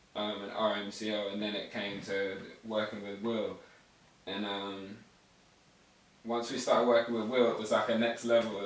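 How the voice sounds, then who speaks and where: A man with an American accent talks at a moderate pace in a fairly low, monotone voice, with long, frequent pauses. Noticeable background noise and audible room echo fill the recording. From England, teen years in the US. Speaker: rapper. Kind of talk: interview. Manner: slurred words.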